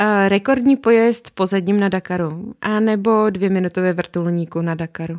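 This woman has a normal speaking voice at a medium pitch, with ordinary pitch variation and hardly any pauses. She talks at a moderate pace, and the sound is dry and close with no echo. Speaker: podcast host, motorcycle riding instructor. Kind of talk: casual interview.

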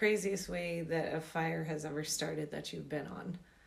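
A woman with an American accent speaks at a fairly slow pace, with audible room echo and noticeable background noise. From US South, Georgia. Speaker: podcast host. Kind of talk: casual chat.

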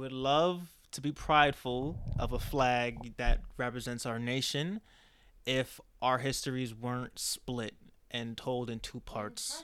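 In a plain, everyday voice with an American accent, a man speaks at a fairly slow pace with fairly even intonation on a very clean recording with a silent background. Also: medium pitch for a man. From New York (Queens, Dutchess County). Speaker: podcast guest. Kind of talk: casual chat.

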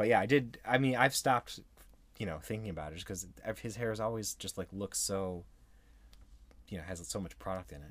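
A man's fairly low voice, fairly quick, with long, frequent pauses, big swings in loudness and ordinary pitch variation. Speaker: podcast host. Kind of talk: casual banter between spouses.

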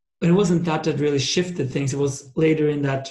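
A man speaks with a fairly high pitch. His voice is somewhat breathy, with fairly even intonation. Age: 30s. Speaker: entrepreneur. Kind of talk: interview.

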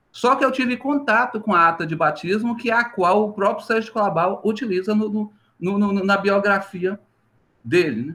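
A man speaks in a raised, projected voice at a moderate pace, his high pitch carrying a bright, sharp tone and ordinary pitch variation, in a very clean recording with a silent background. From Minas Gerais, Brazil (Vale do Jequitinhonha). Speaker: history professor. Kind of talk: interview.

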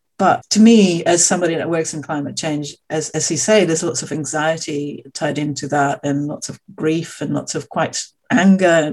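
Woman with a very deep, low pitch, ordinary pitch variation and a moderate pace. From Australia. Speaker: podcast host. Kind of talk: interview conversation.

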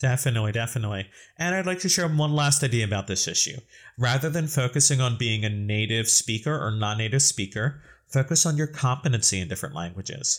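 A man's medium-pitched, somewhat breathy voice at a very fast pace with lively intonation, very clean recording, silent background. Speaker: podcast host and English teacher. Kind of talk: casual educational podcast discussion.

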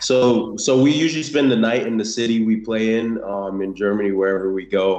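In an American accent, a man talks at a moderate pace with ordinary pitch variation and a normal speaking voice. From South Florida (born in Haiti). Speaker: American football player. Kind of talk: interview. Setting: video call. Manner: casual, many fillers.

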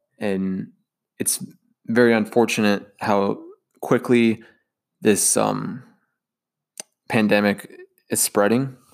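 The speaker moves at a very slow pace in a monotone, flat intonation, with long, frequent pauses. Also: man, fairly low pitch for a man. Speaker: podcast host. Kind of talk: solo podcast monologue. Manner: casual, unscripted with filler words.

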